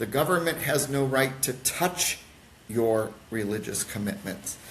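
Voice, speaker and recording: With an American accent, a man speaks fairly slowly at a medium pitch, using lively intonation. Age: 60s. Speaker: pastor. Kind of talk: podcast interview. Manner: halting.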